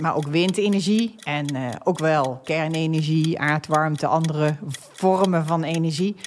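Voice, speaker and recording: At a moderate pace and fairly low pitch, a woman speaks over noticeable background noise. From Netherlands, North Brabant. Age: 50s. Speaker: energy company executive and podcast host. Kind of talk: casual chat. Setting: studio.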